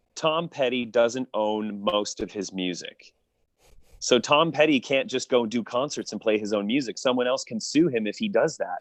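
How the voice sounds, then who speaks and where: A man's normal speaking voice, medium in pitch, with a Canadian accent, lively intonation and a moderate pace against a quiet background. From Niagara Falls, Ontario, Canada. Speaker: opera singer, baritone. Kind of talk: interview answer.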